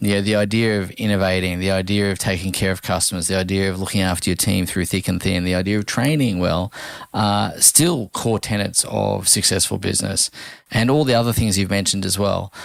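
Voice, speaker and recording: Talking at a fairly quick pace, a man with a fairly low pitch keeps his intonation fairly even and his loudness very even. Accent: Australian. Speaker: podcast host, dentist. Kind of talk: interview.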